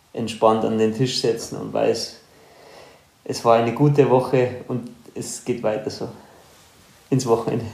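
A man's medium-pitched voice, monotone and flat in intonation, with audible room echo. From Upper Bavaria, Germany (Ruhpolding). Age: 30s. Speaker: professional trail runner. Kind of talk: casual interview.

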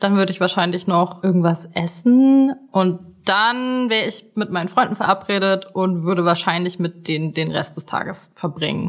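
Over noticeable background noise, a woman with a medium pitch talks at a moderate pace with ordinary pitch variation and hardly any pauses. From Germany. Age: 20s. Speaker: dating show contestant. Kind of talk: casual chat.

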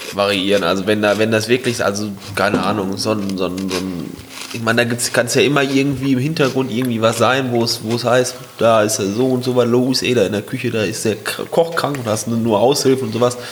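A man speaks at a fairly quick pace with fairly even intonation over noticeable background noise. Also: medium pitch for a man. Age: 20s. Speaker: carpentry apprentice and hobby DJ. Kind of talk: casual chat.

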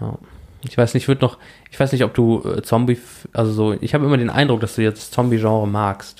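At a fairly quick pace broken by long, frequent pauses, a man speaks at a medium pitch with fairly even intonation. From rural Germany. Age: 20s. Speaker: podcast host. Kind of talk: casual chat.

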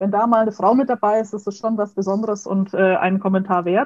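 A woman talks fairly quickly with a slight Franconian accent. Her voice is fairly high, with a dark, mellow tone. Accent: slight Franconian, rolled R. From Franconia, Nuremberg. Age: 20s. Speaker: food chemist. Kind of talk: interview.

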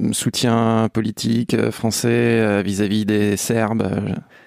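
Very slowly and in a monotone, flat intonation, a man speaks with a dry, close sound and no echo. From France. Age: 30s. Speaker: sports writer. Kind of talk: casual chat.

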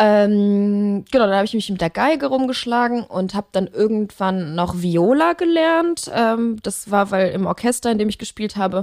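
The speaker has an unremarkable speaking voice. Delivery is at a moderate pace with lively intonation. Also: woman. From Germany, Leverkusen (Rhineland). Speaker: musician. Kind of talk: casual interview.

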